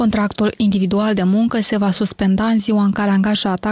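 Her dark, mellow tone is somewhat breathy, and her intonation stays monotone and flat. The woman's voice is captured with a dry, close sound and no echo. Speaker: radio reporter. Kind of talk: news reading.

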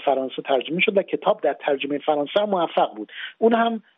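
Speaking at a fairly quick pace, a man uses a plain, everyday voice with a fairly high pitch and lively intonation. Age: 40s. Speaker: novelist. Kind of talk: radio interview.

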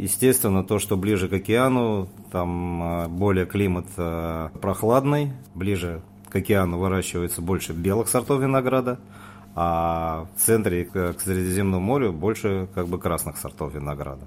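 A man's very deep, low pitch with ordinary variation at a moderate pace, on a very clean recording with a silent background. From Moscow, Russia. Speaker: wine merchant. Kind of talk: casual interview. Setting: studio.

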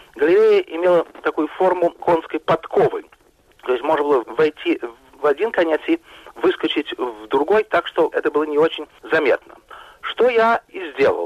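The sound is close and dry, with no echo at all. A man speaks at a moderate speed. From Russia, Moscow. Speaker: journalist. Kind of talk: interview.

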